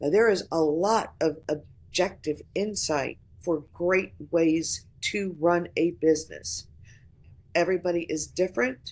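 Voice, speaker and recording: This woman has a fairly low, rumbling voice and an American accent. She talks at a fairly slow pace with ordinary pitch variation. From Florida, US South. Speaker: voice actor. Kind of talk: casual podcast conversation. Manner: animated.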